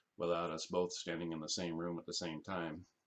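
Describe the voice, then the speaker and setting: A man mumbles. His pitch is very deep and low. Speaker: carpenter. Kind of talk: casual screen-capture walkthrough for clients. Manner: mumbling.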